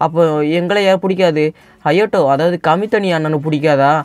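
Music plays in the background while this man talks at a fairly high pitch. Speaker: anime recap narrator. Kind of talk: anime episode recap narration. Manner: casual, conversational.

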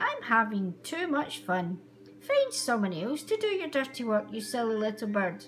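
A female-sounding voice puts on a character voice at a moderate pace, with clear background noise behind it. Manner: playful, dismissive.

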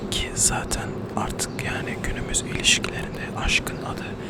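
A man whispering at a fairly slow pace amid noticeable background noise. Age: 20s. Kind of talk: ASMR casual chat to camera.

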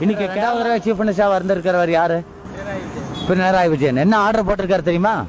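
A man's voice with ordinary pitch variation, dry with no echo, over light background noise. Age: old. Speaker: interviewee. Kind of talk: passionate public speech on politics and education. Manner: forceful, argumentative. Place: street. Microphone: handheld.

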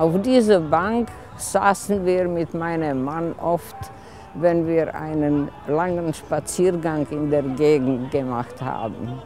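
Over faint music in the background, a woman speaks very slowly in a very deep, low pitch with lively intonation, the sound dry with no echo. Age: 80s+. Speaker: local resident telling a story. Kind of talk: personal story told at a community event. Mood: wistful, nostalgic. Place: open country.

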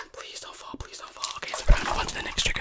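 A woman whispering. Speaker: ASMR creator. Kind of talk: ASMR trigger chat, playful repetition. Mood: playful, teasing. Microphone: studio mic.

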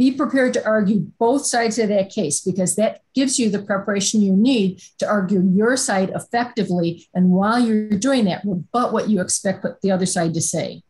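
With few pauses and a moderate pace, a woman speaks in a slightly mellow tone with a slightly husky edge and ordinary pitch variation. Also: medium pitch for a woman.

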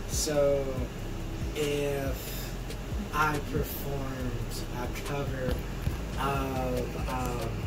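Loud background noise surrounds a man speaking at a very slow pace. He leaves long, frequent pauses. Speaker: YouTube host. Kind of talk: casual talk to camera. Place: kitchen. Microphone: camera far.

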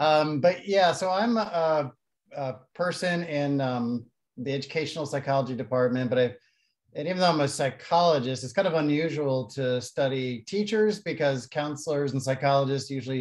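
Against a quiet background, the voice holds a moderate pace and shows ordinary pitch variation. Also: man. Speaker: university professor presenting research. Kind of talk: lecture. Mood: friendly, relaxed. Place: home room. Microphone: video call.

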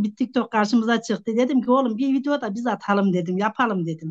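Against a quiet background, a woman with a plain, everyday voice speaks at a fairly high pitch. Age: 50s. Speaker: social media personality. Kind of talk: casual interview.

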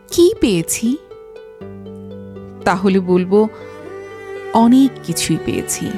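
Over music in the background, a woman talks at a fairly high pitch with lively intonation. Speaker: voice artist / narrator. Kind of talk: emotional story narration, reflective monologue.

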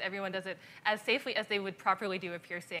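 A woman talks at a very fast pace in a bright, sharp tone with fairly even intonation. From Canada. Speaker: TV host; talk show guest. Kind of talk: interview answer. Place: studio.

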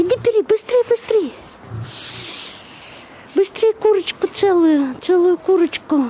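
A woman with an extremely high pitch and a dark, mellow tone speaks at a fairly slow pace with lively intonation.

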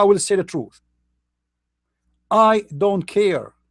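Here a man speaks with an Arabic accent at a high pitch. His intonation is fairly even. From Middle East. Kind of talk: online commentary talk.

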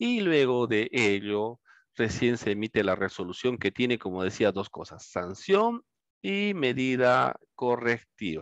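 A man's medium-pitched voice, very slow, with lively intonation, a dry sound with no echo and a quiet background. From Peru. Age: 50s. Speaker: law lecturer. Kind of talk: lecture. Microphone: headset.

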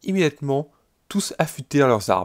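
In a very clean recording with a silent background and a dry, close sound with no echo, a man with a medium pitch delivers a solemn, dramatic tone with lively intonation. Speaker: let's play narrator. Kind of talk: dramatic narration of alternate history, in-game let's play. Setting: gaming video voiceover. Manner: solemn, dramatic, epic storytelling tone; formal, archaic-sounding narration.

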